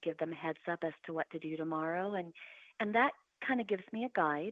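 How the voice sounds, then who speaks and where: A woman speaks in a fairly low voice. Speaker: podcast guest, motivational show host. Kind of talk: interview conversation. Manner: loud; animated.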